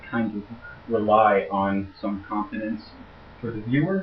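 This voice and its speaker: A man with a fairly low pitch talks at a moderate pace, and audible room echo surrounds him. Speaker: logic instructor. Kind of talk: lecture. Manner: halting.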